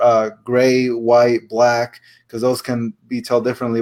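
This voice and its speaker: A man speaks at a medium pitch with a Spanish accent. The recording is very clean, with a silent background. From Puerto Rico. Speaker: board game designer. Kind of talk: interview. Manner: halting.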